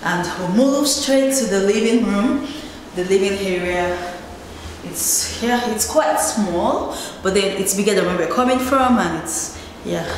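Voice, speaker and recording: A woman talks at a fairly slow pace amid strong room echo and light background noise. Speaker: homeowner vlogger. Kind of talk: casual vlog chat. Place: home room. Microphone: phone near.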